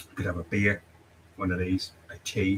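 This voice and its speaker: With an English accent, a man talks at a fairly slow pace and a fairly low pitch. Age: 60s. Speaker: barber and livestream host. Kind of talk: casual chat.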